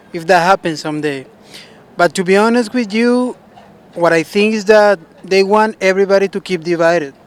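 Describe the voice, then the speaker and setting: Recorded with a dry, close sound and no echo, a man talks at a moderate pace with a high pitch and ordinary pitch variation. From Colombia (Bogotá). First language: Spanish. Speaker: member of the public interviewed. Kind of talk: street interview. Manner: hesitant, with restarts and fillers.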